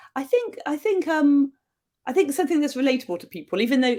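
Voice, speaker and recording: Very fast speech comes from a woman with a southern English accent. Her pitch swings very widely. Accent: English (southern England). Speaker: novelist. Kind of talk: interview.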